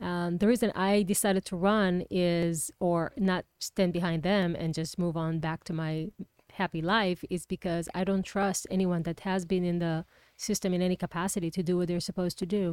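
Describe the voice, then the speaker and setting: A speaker with an Israeli accent talks at a moderate pace in a monotone, flat intonation, recorded with a dry, close sound and no echo. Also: woman, fairly low pitch for a woman. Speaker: political candidate. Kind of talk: interview.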